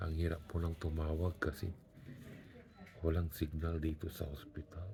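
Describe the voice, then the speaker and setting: Quiet and somewhat breathy, a man speaks with a very deep, low pitch and a dark, mellow tone in a monotone, flat intonation. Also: moderate pace. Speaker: vlogger. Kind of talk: video diary. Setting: hospital bed. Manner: quiet, low voice.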